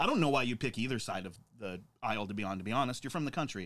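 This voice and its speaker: A man with an American accent, an animated tone, a very fast pace, medium pitch and ordinary pitch variation, on a very clean recording with a silent background. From Montana. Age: 30s. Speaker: podcast host, bar owner. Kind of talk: casual chat.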